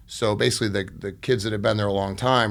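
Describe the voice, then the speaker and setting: A man with a fairly low pitch and vocal fry talks at a very fast pace with an American accent. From US Midwest (Iowa, Detroit). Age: 40s. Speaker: construction business owner. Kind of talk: interview testimony.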